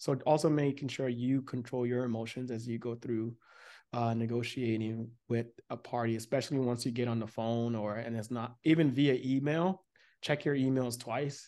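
In a General American accent, a man speaks at a moderate pace with a medium pitch, a dark, mellow tone, and fairly even intonation over a quiet background. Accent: general American, little. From United States. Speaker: podcast host. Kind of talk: casual podcast conversation.

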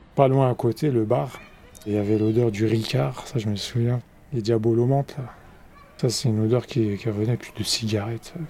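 Noticeable background noise sits behind a man of medium pitch talking at a moderate pace. He uses ordinary pitch variation and leaves long, frequent pauses. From Bobigny, Seine-Saint-Denis, France. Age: 40s. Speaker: local resident. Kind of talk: documentary testimony. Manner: casual, hesitant.

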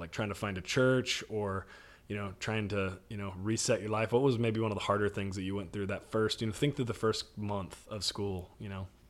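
An ordinary speaking voice from a man with an American accent, fairly low in pitch, fairly quick in pace and fairly even in intonation. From Texas, North Dallas. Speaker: college pastor. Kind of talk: podcast interview.

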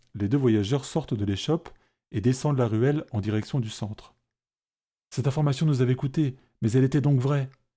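On a very clean recording with a silent background, a man speaks at a fairly quick pace and medium pitch with a dark, mellow, somewhat breathy and dramatic tone, ordinary pitch variation, and long, frequent pauses. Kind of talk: fantasy audio drama narration with character voices. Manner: measured, dramatic pacing, tense and hushed during the fight scene.

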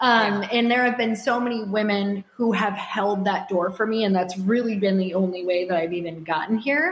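A woman talks at a moderate pace with hardly any pauses, at medium pitch with ordinary pitch variation and very even loudness. The recording carries noticeable background noise and audible room echo. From US Midwest, Upper Michigan. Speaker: entrepreneur and podcast host. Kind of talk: casual interview.

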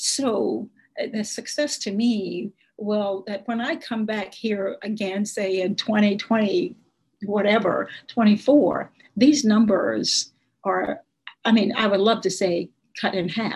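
Speaking very slowly with an American accent, a woman uses a fairly high pitch and vocal fry. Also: ordinary pitch variation. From US South, South Arkansas (Nevada County). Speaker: state senator. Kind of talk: interview.

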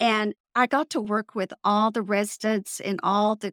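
A woman speaks with a Texas accent in a fairly high pitch. The sound is dry and close with no echo. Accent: Texas twang. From Texas Panhandle.

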